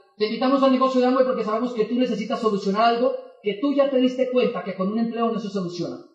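Noticeable noise sits behind a man with an extremely high-pitched voice. He speaks very fast with fairly even intonation. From Colombia, Boyacá. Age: 20s. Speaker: network marketing motivational speaker. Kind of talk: motivational talk.

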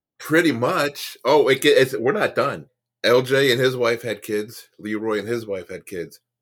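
A man with an American accent speaks in a normal speaking voice at a medium pitch and a moderate pace, with lively intonation. The recording is very clean, with a silent background. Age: 50s. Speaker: comedian and former Marine. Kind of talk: casual storytelling interview.

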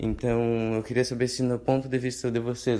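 A man's voice sits at a medium pitch with a dark, mellow tone. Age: 20s. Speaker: listener sending a question. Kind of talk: recorded voice message. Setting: pre-recorded audio message played on the show.

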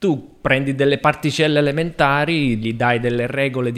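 Moving at a moderate pace with ordinary pitch variation, this is an ordinary speaking voice. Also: man. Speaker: podcast co-host. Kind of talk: casual chat.

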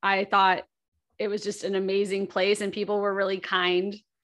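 Over a quiet background, a woman speaks at a medium pitch with an American accent. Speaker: podcast host. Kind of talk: casual chat.

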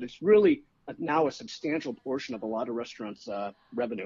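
With an American accent, a man speaks fairly quickly at a fairly high pitch. He has a plain, everyday voice and lively intonation. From Chicago. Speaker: food writer. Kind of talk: casual chat. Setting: phone call.

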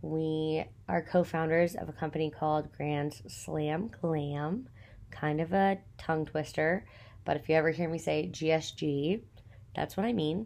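On a very clean recording with a silent background, a woman with a Texan accent speaks fairly slowly in a very deep, low voice with ordinary pitch variation. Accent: Texan (US Southern). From Texas. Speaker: podcast host and small business owner. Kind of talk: casual solo monologue. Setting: recording at home in apartment. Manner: chatty, many fillers and laughs.

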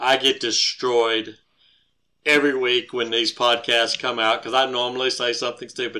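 In an American accent, a man speaks at a moderate pace and medium pitch, with a bright, sharp tone and monotone, flat intonation, on a very clean recording with a silent background. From Georgia. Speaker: podcast co-host, parent. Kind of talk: casual interview.

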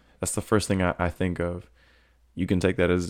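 A man with an American accent has a very deep, low pitch. The recording is very clean, with a silent background. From Florida. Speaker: podcast host and poet. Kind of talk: poetry reading and casual commentary. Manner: casual, filler-heavy.

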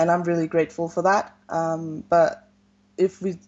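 This woman has a fairly low pitch. Vocal fry runs through her speech. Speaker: novelist. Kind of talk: interview.

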